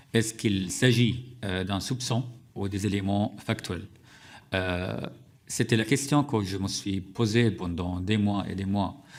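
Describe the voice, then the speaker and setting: A man speaks with an Arabic accent at a very slow pace. His pitch sits fairly low. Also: very clean recording, silent background. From Syria. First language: Arabic (speaking French). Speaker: journalist and author. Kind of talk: testimony.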